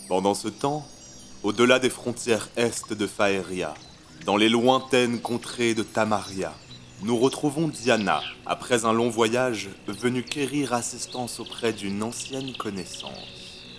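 A man at medium pitch and very slow pace, with music in the background. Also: ordinary pitch variation. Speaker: narrator of audio fiction. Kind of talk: dramatic narration of a fantasy audio drama, scripted storytelling. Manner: gripping, present-tense storytelling with rising tension, urgent and vivid.

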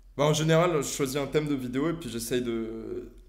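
With audible room echo, a man speaks at a moderate pace and fairly even intonation. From France. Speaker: science YouTuber and physics student. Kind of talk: casual interview.

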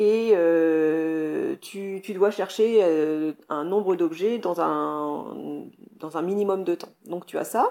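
A woman speaks at a very slow pace, her loudness swinging widely. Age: 40s. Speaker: scuba diving instructor. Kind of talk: interview. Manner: energetic, enthusiastic; hesitant, repeats words.

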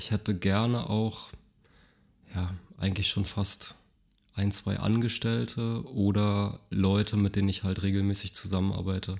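A man with a fairly low pitch speaks at a fairly slow pace, his intonation fairly even and his pauses long and frequent. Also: very clean recording, silent background. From Berlin, Germany (grew up in Mitte, East Berlin). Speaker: carpenter and product designer. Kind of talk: casual interview.

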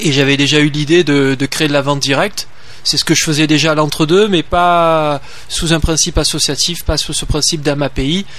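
Noticeable background noise sits behind a man with a slight Marseille accent. His pitch is fairly high, his intonation fairly even, and his pace moderate. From Marseille, southern France. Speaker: farmer and association president. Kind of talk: radio interview. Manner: halting.

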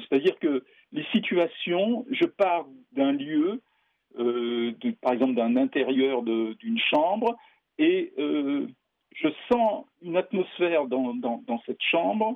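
A man's high-pitched voice with very wide pitch swings at a very slow pace. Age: 60s. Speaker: experimental filmmaker. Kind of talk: interview. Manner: halting.

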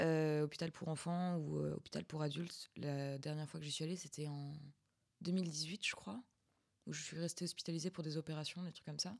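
A woman talks in a very deep, low pitch with fairly even intonation. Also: moderate pace. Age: 20s. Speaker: student podcast host. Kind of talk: casual chat.

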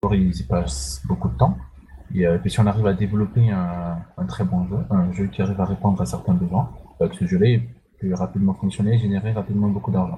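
A man's very deep, low voice with very wide pitch swings at a moderate pace, amid noticeable background noise. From Central African Republic. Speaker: indie game developer. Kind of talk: interview.

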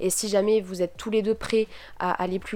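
A woman's medium-pitched voice, fairly even in intonation, at a fairly slow pace. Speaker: podcaster. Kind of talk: casual solo podcast monologue. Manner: hesitant, many fillers.

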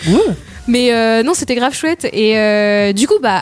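Here a woman talks with a fairly high pitch. Her pitch variation is ordinary. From France, Sarthe. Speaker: radio show guest. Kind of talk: casual radio chat.

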